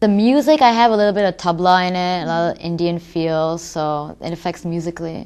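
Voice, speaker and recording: A woman with an American accent speaks at a fairly low pitch and a fairly quick pace. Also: ordinary pitch variation. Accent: American accent when speaking Urdu. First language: Urdu. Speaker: rapper. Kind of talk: interview.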